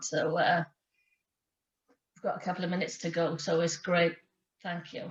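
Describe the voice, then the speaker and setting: In a Welsh accent, a woman talks at a fairly quick pace, her fairly low voice held to a flat monotone. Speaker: sports programme lead. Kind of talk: online workshop hosting. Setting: video call.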